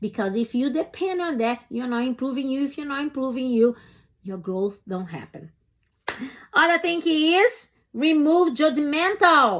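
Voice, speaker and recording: A woman's high voice with very wide pitch swings at a fairly slow pace. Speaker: personal development coach. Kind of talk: motivational talk to camera. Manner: halting at times.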